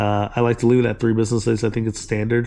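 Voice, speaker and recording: A man's voice has a dark, mellow tone and monotone, flat intonation. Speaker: online reseller and tutorial creator. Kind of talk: tutorial. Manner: halting, many fillers; casual.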